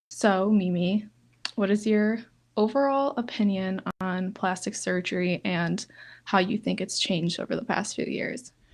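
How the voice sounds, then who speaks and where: The background is quiet as a woman speaks at a moderate pace. Her pitch is medium and her intonation fairly even. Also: big swings in loudness. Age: 20s. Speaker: podcast host. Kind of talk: casual chat. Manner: hesitant, filler-heavy.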